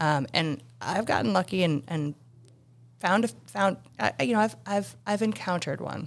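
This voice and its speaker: With vocal fry and very wide pitch swings, a woman speaks at a moderate pace in a fairly low pitch. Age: 40s. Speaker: single mother. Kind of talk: casual chat. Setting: studio. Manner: halting, many false starts.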